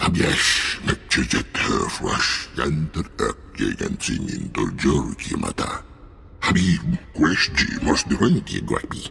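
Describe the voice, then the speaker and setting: Growling at a fairly slow pace, a man puts on a character voice over clear background noise. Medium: video game. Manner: speaks in a foreign alien language.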